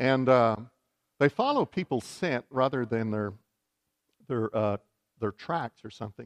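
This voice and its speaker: With a Texan accent, a man speaks with ordinary pitch variation and long, frequent pauses, the sound dry and close with no echo. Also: medium pitch for a man, fairly slow pace, quiet background. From West Texas. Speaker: bishop. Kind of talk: sermon.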